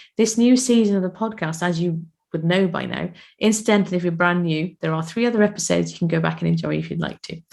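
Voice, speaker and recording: A woman with a British accent talks at a fairly quick pace in a fairly low voice. The recording is very clean, with a silent background. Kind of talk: casual podcast storytelling.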